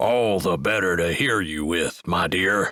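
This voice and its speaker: A man's put-on character voice, growling and raspy, very deep and low in pitch, at a fairly slow pace. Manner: playful, teasing.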